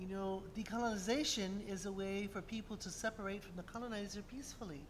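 Over light background noise, a woman speaks at a very fast pace with ordinary pitch variation. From Hawaii. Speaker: symposium moderator. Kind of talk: moderated Q&A. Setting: stage with audience. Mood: warm, lightly humorous. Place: classroom. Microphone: podium.

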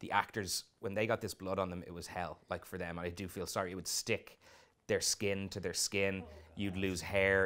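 Talking at a fairly quick pace, a man with an Irish accent speaks at fairly low pitch. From Ireland. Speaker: film director. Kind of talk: interview. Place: studio. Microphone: lapel.

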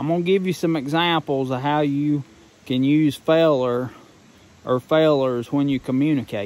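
Here a man speaks with a Southern Appalachian accent at a moderate pace. His pitch variation is ordinary, and the sound is dry with no echo. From Southern Appalachia, western North Carolina. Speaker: grain miller. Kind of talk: casual dialect lesson to camera. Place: open country. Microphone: phone near.

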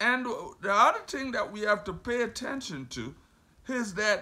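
Raised and projected, a man's voice comes across bright, sharp and animated. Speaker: preacher. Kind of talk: sermon; scripture reading and Bible teaching. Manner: animated, fervent preaching, with exclamations like 'have mercy'; conversational, with pauses, repeats and rhetorical questions. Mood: warm, earnest teaching. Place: home room. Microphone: phone near.

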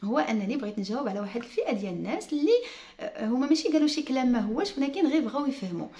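Speaking at a very fast pace, a woman uses a high pitch with very wide pitch swings. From Morocco. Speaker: YouTuber and home furnishing entrepreneur; vlogger. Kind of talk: casual vlog talk to viewers. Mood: earnest, explaining, smiling. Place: home room. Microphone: phone near.

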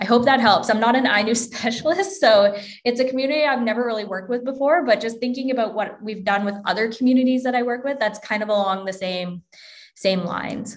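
A woman speaks very fast at a fairly high pitch with ordinary pitch variation over a quiet background. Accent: western Canadian. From Alberta, Canada (small town near Edmonton). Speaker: academic librarian; presenter. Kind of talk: lecture. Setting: video call. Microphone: webcam.

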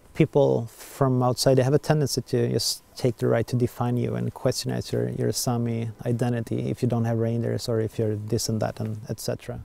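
A man with a Swedish accent at a moderate pace, hardly any pauses, in a dry sound with no echo. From southern Sweden. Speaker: artist, documentary subject. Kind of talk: documentary interview; interview answer. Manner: halting. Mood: reflective, somewhat frustrated. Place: open country.

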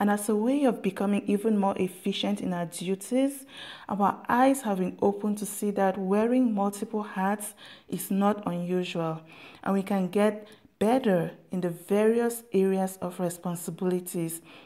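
At a moderate pace, a woman in a plain, everyday voice speaks at a medium pitch with fairly even intonation. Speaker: prayer leader. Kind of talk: fervent prayer, declaring blessings over listeners. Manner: earnest, solemn, rhythmic repetition; declarative, building cadence.

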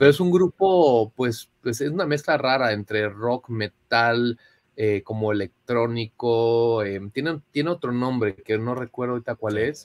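Over a quiet background, a man talks fairly slowly with ordinary pitch variation, the sound dry with no echo. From Mexico City. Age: 30s. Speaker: digital marketing professional; podcast guest. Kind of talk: testimony. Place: home room.

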